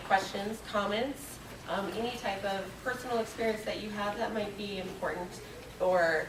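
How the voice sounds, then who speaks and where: The voice has fairly even intonation, with audible room echo and noticeable background noise. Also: woman. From military family, mostly overseas. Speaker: graduate student researcher. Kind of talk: conference talk. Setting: conference panel with audience.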